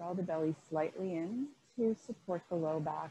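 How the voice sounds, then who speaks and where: A somewhat breathy woman's voice with light background noise. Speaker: yoga instructor. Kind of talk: instruction. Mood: calm, soothing. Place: home room.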